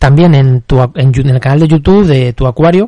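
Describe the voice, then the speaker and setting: The tone is dark and mellow. It is also somewhat breathy. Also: man, dry, close sound with no echo. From Spain, La Mancha. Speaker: podcast host, aquarium hobbyist. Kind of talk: solo podcast tutorial. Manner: halting, frequent repetitions.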